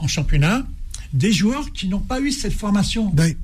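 There is audible room echo around this man. His intonation is lively. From northern France. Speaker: former international footballer. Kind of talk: radio interview.

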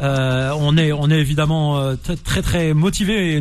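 A man talks at a fairly high pitch. There is noticeable background noise. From France, Nantes, of Algerian descent. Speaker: radio host. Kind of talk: radio interview. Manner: animated.

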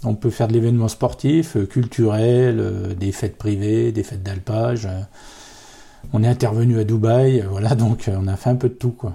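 The tone is dark and mellow, and somewhat breathy. Delivery comes at a fairly slow pace. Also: man, medium pitch for a man, fairly even intonation. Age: 40s. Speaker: accordionist in a folk band. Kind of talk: interview. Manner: hesitant, many fillers.

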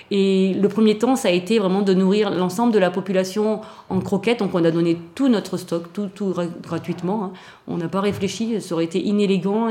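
A woman's voice sits at a medium pitch with a dark, mellow tone. Her intonation stays fairly even. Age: 50s. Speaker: veterinarian. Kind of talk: personal testimony interview.

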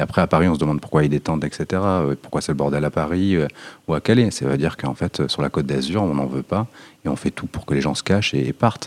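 A man speaks very fast in a very deep, low voice with vocal fry and ordinary pitch variation, the sound dry and close with no echo. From Nice, southern France. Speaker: farmer and activist. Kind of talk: interview conversation. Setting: small hall, private recording. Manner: halting, many repetitions.

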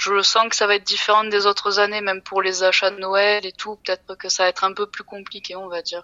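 A woman speaks at a fairly quick pace and a medium pitch with hardly any pauses, her intonation monotone and flat while her loudness swings widely. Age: 20s. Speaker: IT support worker. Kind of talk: interview. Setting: phone call. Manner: halting.

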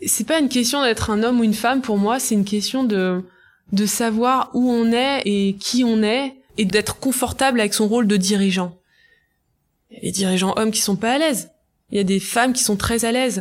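A woman's normal speaking voice, with ordinary pitch variation at a moderate pace. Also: fairly high pitch for a woman. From Brittany, France (Côtes d'Armor). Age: 30s. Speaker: entrepreneur, start-up founder. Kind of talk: interview.

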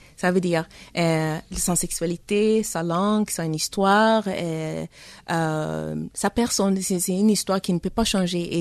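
Delivery is fairly slow with ordinary pitch variation. The sound is dry and close, with no echo. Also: woman, very clean recording, silent background. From Tanzania, Congolese family. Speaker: novelist. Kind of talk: interview. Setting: studio. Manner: halting.

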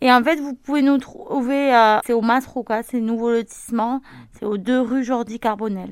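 Her high-pitched voice moving at a fairly slow pace with fairly even intonation, a woman speaks in a very clean recording with a silent background. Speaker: local shop owner. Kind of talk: interview. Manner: halting, many hesitations.

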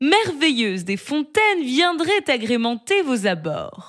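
Very wide pitch swings mark this woman's speech. She talks at a very slow pace. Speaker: storyteller narrating a tale. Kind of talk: bedtime story telling. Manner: calm, soft, slow storytelling pace.

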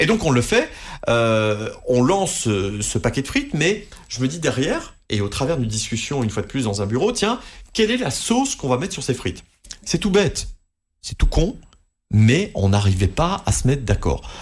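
A man's medium-pitched, somewhat breathy voice at a moderate pace, with very wide pitch swings. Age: 30s. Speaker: radio host. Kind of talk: interview. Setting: studio.

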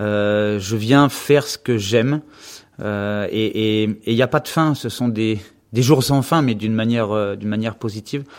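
In a very clean recording with a silent background, a man with a normal speaking voice talks fairly slowly at a medium pitch with fairly even intonation. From western France (Anjou). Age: 50s. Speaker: gymnastics coach. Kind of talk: interview. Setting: office at the gym.

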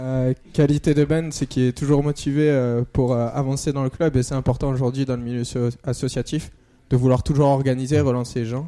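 A man of medium pitch talks at a fairly quick pace in a dark, mellow tone with monotone, flat intonation. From Marseille, southern France. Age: 20s. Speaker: cycling club race organizer. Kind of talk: radio interview.

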